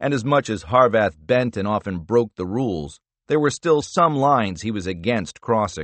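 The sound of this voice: The voice is an unforced reading voice. The background is quiet.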